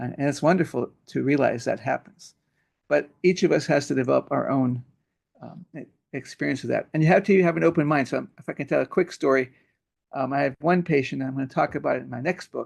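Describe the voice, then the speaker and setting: A man's fairly high-pitched voice carries vocal fry and ordinary pitch variation. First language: Hebrew. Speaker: pediatrician and author. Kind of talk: interview. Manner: halting.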